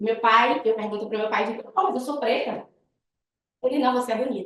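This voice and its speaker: Her voice fairly high, a woman talks at a fairly quick pace with ordinary pitch variation. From Northeast Brazil, Bahia. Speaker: guest lecturer, web designer. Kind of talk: guest lecture with personal story. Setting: university classroom. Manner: fast.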